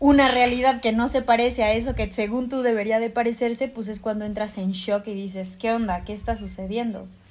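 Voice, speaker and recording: A woman speaks at a moderate pace with fairly high pitch. Her voice is somewhat breathy, with fairly even intonation. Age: 20s. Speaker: university student and yoga teacher. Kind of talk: casual chat.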